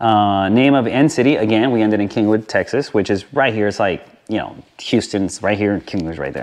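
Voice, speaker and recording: A man's plain, everyday voice, fairly low in pitch, with ordinary pitch variation and a fairly quick pace. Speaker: motorcycle vlogger. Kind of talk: tutorial. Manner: casual with many fillers.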